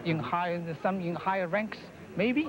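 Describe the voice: A man with a high voice talks at a fairly slow pace, with ordinary pitch variation and faint background noise.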